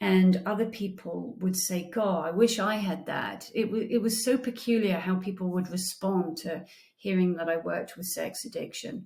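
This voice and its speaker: A woman with a British accent talks with fairly even intonation and hardly any pauses. Noticeable background noise runs under her voice. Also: medium pitch for a woman, moderate pace. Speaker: therapist. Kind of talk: casual intro monologue.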